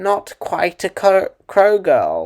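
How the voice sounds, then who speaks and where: A put-on character voice comes through croaky. Its pitch sits fairly high. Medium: read story. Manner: terse, broken phrases, scolding.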